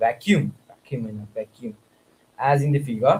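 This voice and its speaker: This man's voice comes across as somewhat breathy. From Nepal. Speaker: student streamer. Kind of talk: studying aloud on livestream. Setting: livestream. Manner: halting.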